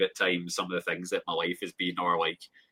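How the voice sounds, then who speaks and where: A man with a Scottish accent at a fairly quick pace, in a dry, close sound with no echo. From Scotland. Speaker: grower and small business owner. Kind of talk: casual chat.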